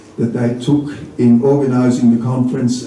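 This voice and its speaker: Noticeable background noise and audible room echo are present. A man of medium pitch speaks with an Australian accent. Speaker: conference session chair, scholar. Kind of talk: formal introduction at academic conference. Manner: formal, with frequent hesitations.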